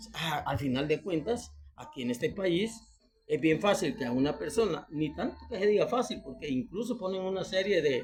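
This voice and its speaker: A man with a Salvadoran accent speaks at a high pitch and a moderate pace. His intonation is lively, and music plays in the background. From El Salvador. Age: 60s. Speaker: retiree and citizen commentator. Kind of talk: video monologue appeal to the president. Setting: self-recorded video for Facebook.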